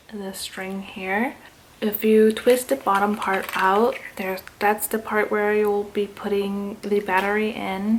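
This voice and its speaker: An upbeat tone over noticeable background noise. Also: woman. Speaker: YouTuber. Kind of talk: unboxing video. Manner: casual, upbeat.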